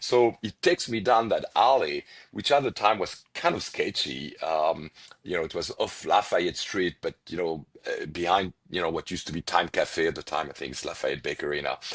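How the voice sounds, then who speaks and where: A man speaks with a strong French accent at a moderate pace. The sound is dry and close, with no echo. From France, Paris. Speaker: restaurant owner. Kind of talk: podcast interview. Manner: hesitant, many fillers and repetitions.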